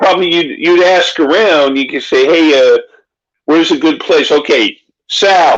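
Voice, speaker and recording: In a Philadelphia accent, a man speaks at a moderate pace with a high pitch and ordinary pitch variation. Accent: Philadelphia-area American. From Pennsylvania. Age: 60s. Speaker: author. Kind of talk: casual chat.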